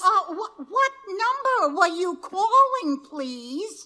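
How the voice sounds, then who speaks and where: In a put-on character voice, the speaker goes very slowly, with very wide pitch swings. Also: woman, extremely high pitch for a woman. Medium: stage play. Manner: polite, formal.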